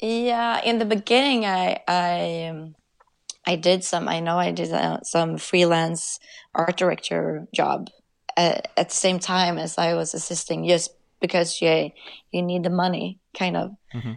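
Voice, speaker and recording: A woman with a Swedish accent talks at a fairly slow pace in a fairly low pitch, with ordinary pitch variation, long and frequent pauses, and a quiet background. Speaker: commercial director. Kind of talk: interview. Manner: halting.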